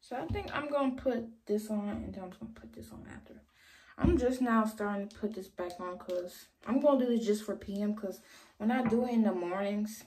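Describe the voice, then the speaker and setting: Somewhat breathy and dark, mellow in tone, the voice moves at a fairly quick pace over light background noise. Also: woman, ordinary pitch variation, big swings in loudness. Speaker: vlogger. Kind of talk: casual vlog chat. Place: bathroom. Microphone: phone near.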